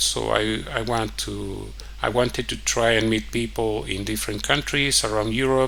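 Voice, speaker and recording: The voice moves at a moderate pace, with audible room echo and noticeable background noise. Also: man. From Mexico. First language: Spanish. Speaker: vlogger. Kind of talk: personal storytelling monologue. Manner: halting, many fillers.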